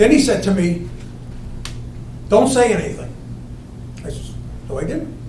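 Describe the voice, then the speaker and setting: There is audible room echo and noticeable background noise around a man speaking. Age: 70s. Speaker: resident at town meeting. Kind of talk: testimony.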